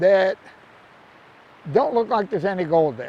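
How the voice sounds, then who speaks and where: A man's high-pitched voice. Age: 70s. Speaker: gold prospecting youtuber. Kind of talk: outdoor tutorial. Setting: outdoors by a creek. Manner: casual, conversational.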